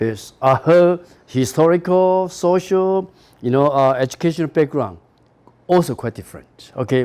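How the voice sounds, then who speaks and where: On a very clean recording with a silent background, a man with a Taiwanese accent speaks at a fairly slow pace in a dark, mellow tone with lively intonation. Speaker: university professor. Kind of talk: lecture.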